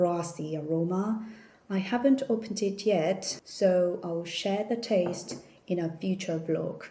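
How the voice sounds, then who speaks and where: A woman with a Korean accent and fairly low pitch, at a very slow pace, with audible room echo and noticeable background noise. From South Korea. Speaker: vlogger. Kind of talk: casual haul vlog. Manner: hesitant with fillers.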